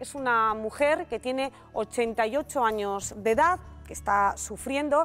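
The speech moves at a fairly slow pace with ordinary pitch variation, faint music playing in the background. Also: woman, fairly high pitch for a woman. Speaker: TV presenter. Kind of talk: TV news introduction. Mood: serious, sympathetic. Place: studio. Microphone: lapel.

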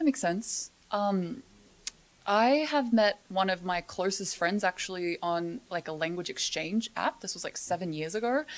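A woman talks with an Australian accent and lively intonation. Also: moderate pace. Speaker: podcast co-host. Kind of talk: casual chat; reading aloud. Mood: friendly, relaxed. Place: studio. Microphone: studio mic.

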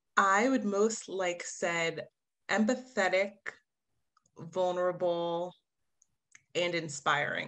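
A woman with an American accent at a very slow pace, broken by long, frequent pauses, over a quiet background. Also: medium pitch for a woman, ordinary pitch variation. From New Jersey, US. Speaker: diversity and inclusion manager; podcast guest. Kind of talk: interview answers. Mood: reflective, emotional at times. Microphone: video call.

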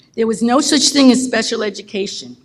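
A woman talks at a fairly quick pace, her voice somewhat breathy. Her pitch is fairly high, with ordinary variation. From New Jersey (Bayonne). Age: 70s. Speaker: member of the public, substitute teacher. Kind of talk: public comment speech. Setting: school board meeting.

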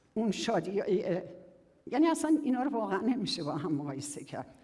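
Amid noticeable background noise, a woman of medium pitch talks at a fairly quick pace with very wide pitch swings. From Iran, southern Kerman province. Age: 60s. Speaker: quality-of-life researcher and public speaker. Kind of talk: public talk.

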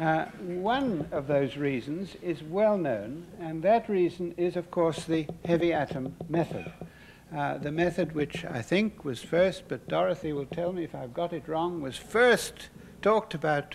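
A high-pitched man's voice at a fairly slow pace, with light background noise. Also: ordinary pitch variation. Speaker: lecturer. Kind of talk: lecture. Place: hall. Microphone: podium.

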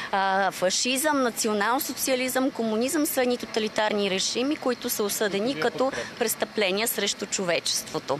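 Over noticeable background noise, a woman talks at a moderate pace with hardly any pauses, very even loudness and a dry sound with no echo. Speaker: municipal councillor. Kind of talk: heated debate. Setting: outdoors. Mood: firm, political. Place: street. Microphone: handheld.

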